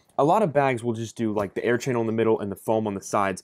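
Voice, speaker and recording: A man is talking. The rise and fall of his pitch is ordinary. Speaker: bag reviewer. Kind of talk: casual product review. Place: home room.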